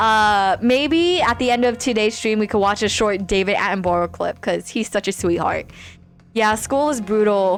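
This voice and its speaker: At a moderate pace, the speaker keeps loudness very even and pitch variation ordinary in a very clean recording with a silent background. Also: woman, fairly high pitch for a woman. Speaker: VTuber streamer. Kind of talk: casual chat with live stream chat. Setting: live stream. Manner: hesitant, many fillers.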